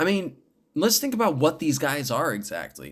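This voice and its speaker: A man's animated voice. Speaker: podcast host. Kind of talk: solo political rant. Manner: stumbling over words.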